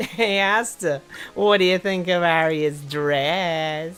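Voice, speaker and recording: A squeaky, put-on character voice at a middle pitch goes at a very slow pace. Music plays in the background. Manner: voice cracking.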